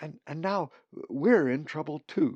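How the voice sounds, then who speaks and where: A man uses a put-on character voice at a fairly high pitch. He goes at a fairly slow pace. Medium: read story.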